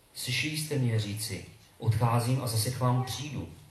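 A man's medium-pitched voice with ordinary pitch variation at a moderate pace, amid noticeable background noise and audible room echo. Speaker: congregation member. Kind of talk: reading aloud.

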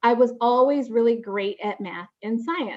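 With a Chicago accent, a woman speaks with ordinary pitch variation. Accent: Chicago-area American. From Chicago suburbs, Illinois (Waukegan). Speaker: corporate marketing executive. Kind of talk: interview. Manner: filler-heavy, with frequent ums and repeated words.

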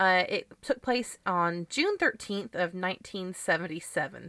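A woman speaks loudly at a fairly slow pace in a bright, sharp tone with ordinary pitch variation, her voice dry and close with no echo in a very clean recording with a silent background. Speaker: podcast host. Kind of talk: casual chat.

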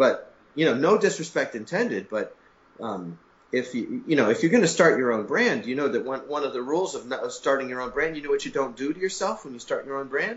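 A fairly quick, fairly high-pitched man with an American accent and very wide pitch swings. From New York. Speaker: skateboard company owner. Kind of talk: casual interview. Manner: animated.

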